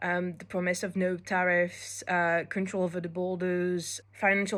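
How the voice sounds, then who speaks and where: A woman with a French accent at medium pitch, fairly slow and monotone with flat intonation, in a very clean recording with a silent background. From France. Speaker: law student. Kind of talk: prepared monologue.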